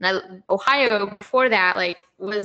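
A woman talks in a normal speaking voice. Her pitch is fairly high, with ordinary pitch variation. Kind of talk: casual chat. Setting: video call.

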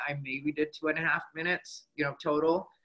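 A man speaks at a moderate pace in a normal speaking voice, fairly high in pitch. He has an American accent. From Arizona, Mexican American. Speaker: stand-up comedian. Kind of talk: casual interview chat.

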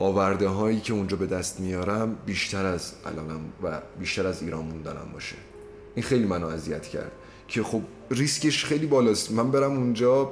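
Music plays in the background as a man speaks at a fairly low pitch. His intonation is lively, and the room echo is audible. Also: fairly quick pace. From Iranian Azerbaijan. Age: 20s. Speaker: law student. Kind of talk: casual chat.

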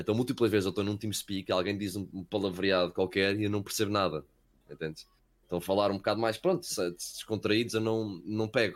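Here a man has a normal speaking voice with a fairly low pitch and fairly even intonation. He moves at a fairly quick pace on a very clean recording with a silent background. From Wales, later Portugal. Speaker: esports caster. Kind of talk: casual chat.

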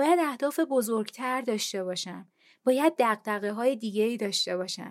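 A woman's fairly high, a plain, everyday voice with ordinary pitch variation, in a very clean recording with a silent background. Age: 30s. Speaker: podcast host. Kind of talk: personal monologue.

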